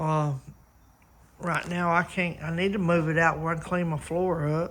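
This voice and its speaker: At a moderate pace, a man with a Southern US accent speaks in a high pitch with a bright, sharp tone. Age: 60s. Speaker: car restoration hobbyist. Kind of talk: casual video chat. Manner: hesitant, many fillers.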